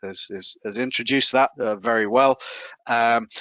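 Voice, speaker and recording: With a British accent, a man speaks at a moderate pace and medium pitch, his intonation fairly even. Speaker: food safety technology specialist. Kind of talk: webinar presentation. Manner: halting, many fillers and repetitions.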